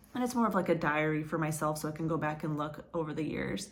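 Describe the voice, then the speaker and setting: A woman's voice carries ordinary pitch variation. Room echo is audible. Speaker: crochet vlogger. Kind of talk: casual vlog chat.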